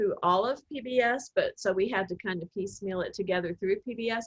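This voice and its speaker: In an Oklahoma accent, a woman speaks with a dry, close sound and no echo. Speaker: film producer. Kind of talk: interview conversation. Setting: video call.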